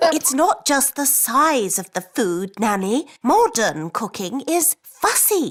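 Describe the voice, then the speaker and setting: A female-sounding cartoonish character voice, pitched high for a woman, moves at a fairly slow pace with hardly any pauses and very wide pitch swings. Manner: sensible, fretful.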